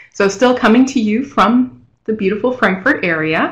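A woman speaks at a moderate pace with lively intonation and a somewhat breathy sound. The background is quiet. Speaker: presenter. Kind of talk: webinar presentation. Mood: friendly, self-deprecating. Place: home room. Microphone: video call.

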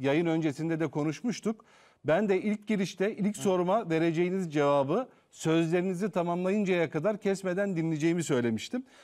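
At a moderate pace and against a quiet background, a man speaks in a high voice with ordinary pitch variation. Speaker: TV talk show host; TV host. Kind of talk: live TV interview. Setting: TV studio. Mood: calm, polite, probing. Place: studio. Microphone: lapel.

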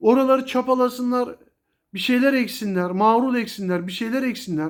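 A man with an animated tone and extremely high pitch speaks with ordinary pitch variation on a very clean recording with a silent background. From Turkey, Kocaeli (Gebze). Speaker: YouTuber, pigeon hobbyist. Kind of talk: angry rant to camera.

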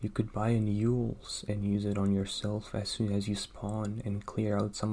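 Soft-spoken and calm in tone, a man talks at a moderate pace with monotone, flat intonation and a fairly low pitch. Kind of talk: ASMR whisper-style narration with game commentary. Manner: soft-spoken, calm.

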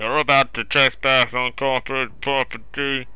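Using a put-on character voice, a man performs. The pitch is medium. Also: moderate pace. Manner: sneering, contemptuous.

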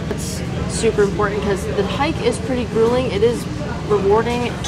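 Speaking at a fairly quick pace, a woman talks over loud background noise. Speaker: travel vlogger. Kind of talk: casual vlog chat. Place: cafe. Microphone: phone near.

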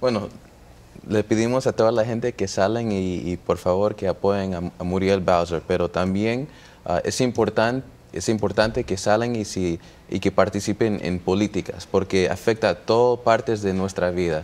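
A man's fairly low pitch, moderate pace, and fairly even intonation. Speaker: political campaign representative. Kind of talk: TV interview. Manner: halting. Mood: friendly, earnest appeal to vote. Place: studio. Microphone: lapel.

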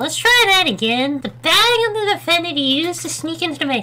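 A high-pitched, put-on character voice carries the clip. Light background noise sits underneath. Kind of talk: gaming commentary. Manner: upbeat.

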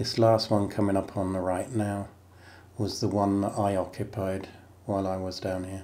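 Calm in tone, a man with a fairly low pitch and a dark, mellow tone talks at a moderate pace with monotone, flat intonation. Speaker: former lighthouse keeper. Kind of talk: walking guided tour narration over video. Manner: calm, matter-of-fact pointing out room by room; plainspoken, reminiscing between directions.

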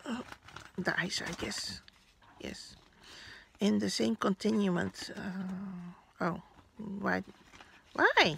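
Amid noticeable background noise, a woman with a Dutch accent speaks at a very slow pace with long, frequent pauses. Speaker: vlogger. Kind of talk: unboxing vlog. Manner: halting.

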